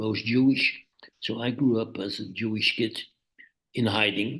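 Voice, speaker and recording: A man with a Dutch accent, fairly slow pace and fairly even intonation. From Netherlands, Amsterdam. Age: 80s+. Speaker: journalist. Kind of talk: interview.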